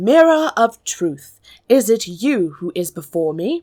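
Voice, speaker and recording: A woman puts on a character voice with very wide pitch swings around a medium pitch, speaking at a fairly slow pace on a very clean recording with a silent background. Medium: read story. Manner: dramatic, imperious.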